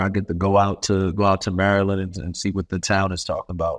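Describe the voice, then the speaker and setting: Over a quiet background, a man with a New York accent talks at a fairly low pitch. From Brooklyn, New York. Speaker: professional basketball player and bourbon entrepreneur. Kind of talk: casual interview.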